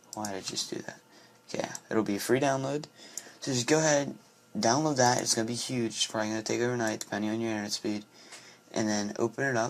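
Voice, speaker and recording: A medium-pitched man speaks at a very fast pace yet with long, frequent pauses and fairly even intonation, amid noticeable background noise. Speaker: programming tutorial maker. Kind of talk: tutorial. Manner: casual, hesitant with fillers.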